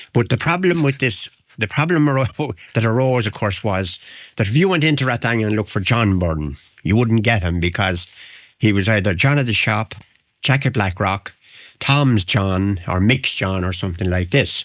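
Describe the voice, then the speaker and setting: Against a quiet background, a voice with a strong Wicklow accent carries lively intonation. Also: man, fairly low pitch for a man, moderate pace. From Ireland, West Wicklow. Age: old. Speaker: retired local columnist and sports historian. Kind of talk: radio interview, reminiscing. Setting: radio studio. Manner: halting, repeats words.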